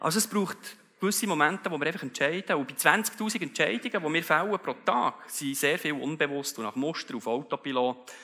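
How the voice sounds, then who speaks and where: A man with a bright, sharp tone talks at a fairly quick pace against a quiet background. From Switzerland. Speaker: keynote speaker. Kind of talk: motivational keynote speech. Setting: live event venue. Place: stage. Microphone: headset.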